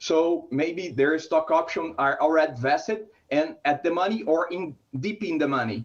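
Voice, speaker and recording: A man with a Brazilian Portuguese accent speaks in a fairly high pitch with ordinary pitch variation. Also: moderate pace. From Brazil, São Paulo. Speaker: startup founder. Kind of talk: startup pitch.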